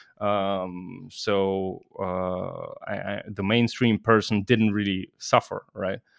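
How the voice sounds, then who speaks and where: A man's fairly low, monotone voice with a Russian accent, very slow yet with hardly any pauses, in a very clean recording with a silent background and a dry, close sound with no echo. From Russia, raised in Germany from age ten. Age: 30s. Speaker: cybersecurity professional. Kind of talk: casual interview.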